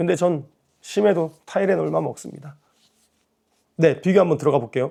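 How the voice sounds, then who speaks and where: A man with a fairly high pitch and a dark, mellow tone talks at a moderate pace, with ordinary pitch variation and vocal fry. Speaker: YouTuber with kidney disease. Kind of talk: vlog talk to camera. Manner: casual, conversational.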